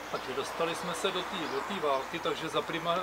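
A man speaks in a flat, monotone way at a fairly high pitch for a man, with noticeable background noise behind him. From Czechia, Kostelec nad Černými lesy; Czechia. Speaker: tour guide. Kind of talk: guided tour. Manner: halting. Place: garden.

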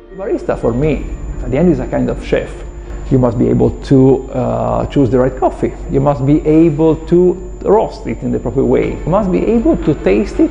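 A man talks at a moderate tempo with faint music in the background. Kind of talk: interview answer. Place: classroom.

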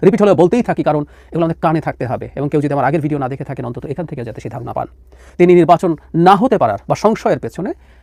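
His voice has a dark, mellow tone, as this man speaks at a fairly high pitch with ordinary variation. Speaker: political analyst. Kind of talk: political commentary.

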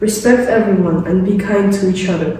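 A woman's fairly even delivery at a moderate pace, with strong room echo and light background noise. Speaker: presenter. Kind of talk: prepared presentation. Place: classroom. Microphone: camera far.

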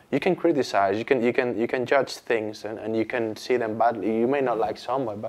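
The speaker is a man. His delivery moves at a moderate pace. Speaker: guest. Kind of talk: discussion answer. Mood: calm, reflective. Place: studio.

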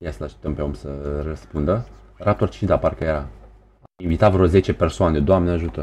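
A man talks at a fairly quick pace with a very deep, low pitch, lively intonation, and vocal fry. His tone is dark and mellow, and his loudness swings widely. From Romania, Tulcea. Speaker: gaming streamer. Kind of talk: live gaming stream chat. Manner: animated.

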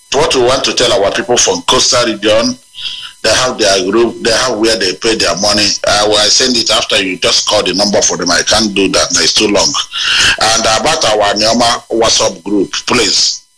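A man speaks at a very even loudness. Noticeable noise fills the background. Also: moderate pace. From Nigeria. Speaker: activist caller. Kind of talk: call-in radio show.

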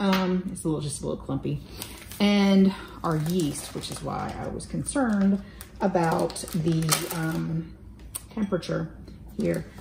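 Against light background noise and audible room echo, a woman speaks at a fairly slow pace. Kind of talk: tutorial. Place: kitchen. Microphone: camera far.

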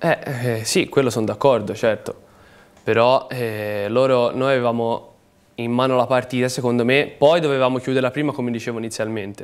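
A man talks at a fairly quick pace with fairly even intonation, broken by long, frequent pauses. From Tuscany, Livorno; Tuscany. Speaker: professional footballer; guest. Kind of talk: TV sports talk show interview. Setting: TV studio. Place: studio.

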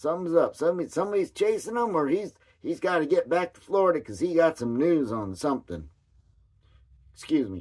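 The speech comes at a very fast pace against a quiet background. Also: man. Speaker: vlogger. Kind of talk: casual chat. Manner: rambling, folksy. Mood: gossipy, mildly critical. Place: home room. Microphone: phone near.

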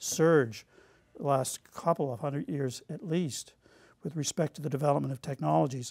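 A man with a Canadian Maritime accent speaks at a fairly quick pace and a fairly high pitch. The background is quiet. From Nova Scotia, Canada. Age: 60s. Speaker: academic speaker; speaker. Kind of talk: lecture. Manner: halting, many fillers. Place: studio.

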